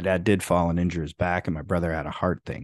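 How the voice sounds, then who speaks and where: In a Midwestern American accent, a man speaks with a very deep, low pitch, recorded dry and close with no echo against a quiet background. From US Midwest, northern Illinois. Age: 40s. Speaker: comedian and podcast host. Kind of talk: reading aloud a personal essay; casual monologue.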